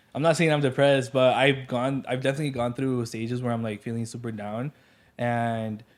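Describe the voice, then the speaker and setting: The recording is very clean with a silent background. A man speaks at a fairly quick pace and medium pitch. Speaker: content creator doing restaurant reviews. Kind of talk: casual chat. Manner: loud; energetic.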